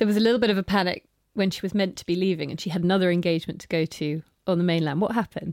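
A woman with a southern English accent speaks very fast at a medium pitch, with fairly even intonation and big swings in loudness in a dry, close sound with no echo. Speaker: podcast host. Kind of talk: interview. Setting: guest's office.

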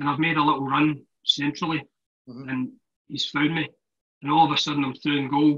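Bright and sharp in tone, a man's fairly high voice moves at a fairly quick pace. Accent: Glaswegian. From Scotland, Glasgow. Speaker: former professional footballer. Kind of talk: casual chat.

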